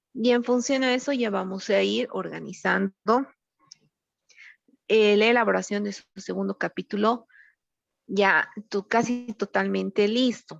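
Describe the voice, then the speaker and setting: A woman speaks at a fairly slow pace with long, frequent pauses, in a dry, close sound with no echo and music in the background. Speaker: university teacher. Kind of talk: online class lecture. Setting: video call. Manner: subdued, duller voice.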